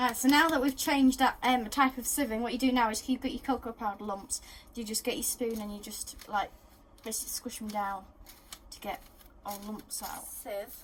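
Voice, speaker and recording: A woman with an English accent, fairly high in pitch, ordinary in pitch variation, at a fairly quick pace. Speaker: baking video host. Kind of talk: casual cooking tutorial. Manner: fast.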